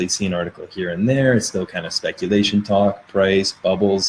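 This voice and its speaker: A man talks at a fairly quick pace with a fairly low pitch. His pitch varies in an ordinary way. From Canada. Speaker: crypto podcaster. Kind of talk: live stream chat with viewers. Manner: casual, rambling with fillers.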